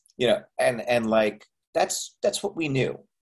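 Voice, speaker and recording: Here is a man with a Canadian accent, a medium pitch, and an unremarkable speaking voice. His pitch variation is ordinary and his pace moderate. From Canada, Montreal. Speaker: actor and filmmaker. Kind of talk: interview.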